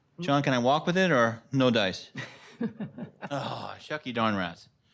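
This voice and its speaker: Room echo is audible around a man's voice. He speaks at a medium pitch with ordinary pitch variation. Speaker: town engineer. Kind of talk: public presentation at town council meeting. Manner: loud.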